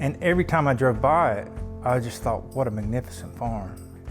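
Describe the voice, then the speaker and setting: Background music plays. Over it, a man talks with lively intonation. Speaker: real estate agent or auction presenter showing the farm. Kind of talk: promotional property walkthrough, casual talk to camera.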